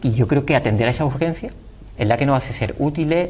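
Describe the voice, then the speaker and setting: A man speaks at a very fast pace. His fairly high pitch shows ordinary variation. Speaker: politician. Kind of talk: TV interview answer.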